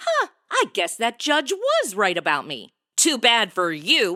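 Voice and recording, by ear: A woman performs a put-on character voice with a bright, sharp tone, very wide pitch swings and a fairly slow pace, in a dry, close sound with no echo. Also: fairly high pitch for a woman.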